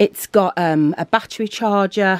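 A woman talks at a fairly slow pace with a Birmingham accent. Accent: Birmingham (Brummie) English. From England, Birmingham. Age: 40s. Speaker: family vlogger. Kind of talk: casual vlog chat to camera. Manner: animated. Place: home room.

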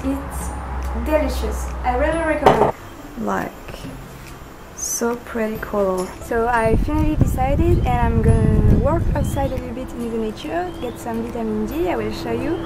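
A woman speaks at a moderate pace with a French accent. Loud music plays in the background. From France. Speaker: vegan fitness vlogger. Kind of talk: casual talk to camera.

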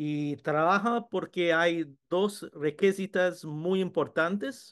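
At a very slow pace, a man with a high pitch talks with an English accent and ordinary pitch variation against a quiet background. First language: English (speaking Spanish). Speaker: food science professor. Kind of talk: webinar presentation. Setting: video webinar. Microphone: video call.

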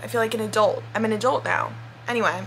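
Against light background noise, a woman talks at a fairly quick pace. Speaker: vlogger. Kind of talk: casual vlog chat. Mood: relaxed, chatty, laughing. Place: home room. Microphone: phone near.

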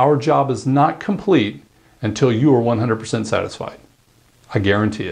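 A man with an American accent speaks at a fairly slow pace over a quiet background. His intonation is lively and his voice has vocal fry. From US South, North Carolina. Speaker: company founder and CEO. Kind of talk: promotional address. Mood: sincere, confident.

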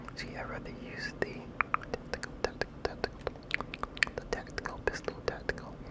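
Whispering at a fairly quick pace, broken by long, frequent pauses, against noticeable background noise. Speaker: ASMR gaming creator. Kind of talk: ASMR gaming commentary. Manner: whispered.

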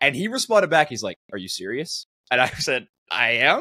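The man's tone is bright and sharp, and he talks at a fairly quick pace. The sound is dry with no echo, over a quiet background. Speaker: podcast guest, esports commentator. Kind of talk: interview answer. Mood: relaxed, friendly. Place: home room.

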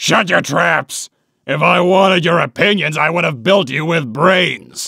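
Using a put-on character voice, a man speaks at a moderate pace in a raspy, high pitch. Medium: dub. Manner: gruff, bossy.

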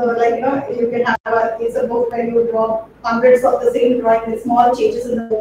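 Strong room echo and noticeable background noise surround a woman speaking at a fairly quick pace. Her high-pitched voice stays monotone, with flat intonation. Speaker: presenter. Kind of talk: lecture. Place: classroom. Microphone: camera far.

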